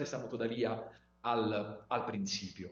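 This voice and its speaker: There's noticeable background noise and audible room echo as a man speaks with an Italian accent. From Italy. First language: Italian (speaking Spanish). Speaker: legal scholar. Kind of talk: lecture. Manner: halting, many fillers.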